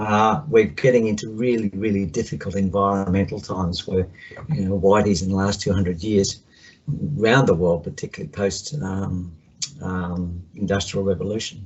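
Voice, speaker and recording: A man speaks at a fairly low pitch. He has an Australian accent. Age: 60s. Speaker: counsellor. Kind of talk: video call check-in.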